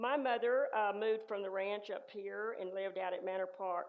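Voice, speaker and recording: Speaking at a fairly slow pace with fairly even intonation, a woman with a West Texas accent talks at a medium pitch. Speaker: church member sharing life story. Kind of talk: personal storytelling. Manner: halting.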